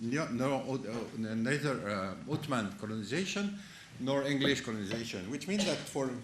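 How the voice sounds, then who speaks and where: Over noticeable background noise and audible room echo, a man with a medium-pitched voice speaks at a moderate pace with lively intonation. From France. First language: French. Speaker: conference speaker, analyst. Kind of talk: conference talk. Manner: halting, many false starts.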